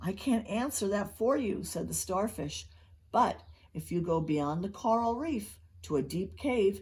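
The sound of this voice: The reading voice is unforced. Its intonation stays lively.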